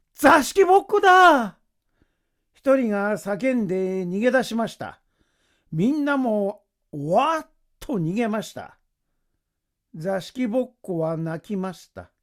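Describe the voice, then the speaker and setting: In a very clean recording with a silent background, a high-pitched man talks at a very slow pace with long, frequent pauses, very wide pitch swings and big swings in loudness. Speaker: actor. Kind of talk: story reading.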